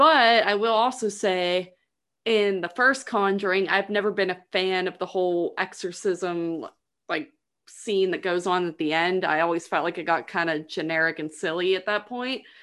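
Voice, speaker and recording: A plain, everyday voice at a moderate pace, with ordinary pitch variation and a quiet background. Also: woman, medium pitch for a woman. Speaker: actress, podcast guest. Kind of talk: casual chat.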